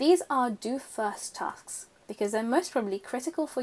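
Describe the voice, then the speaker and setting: This woman has a British accent. She talks at a fairly quick pace. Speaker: student organisation officer. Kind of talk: tutorial.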